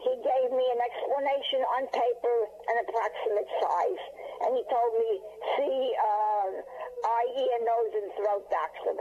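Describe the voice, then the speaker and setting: A woman talks at a fairly slow pace with very even loudness. Noticeable background noise is present. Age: 80s+. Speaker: caller. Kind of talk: phone-in call. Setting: phone call. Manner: halting, repeats words.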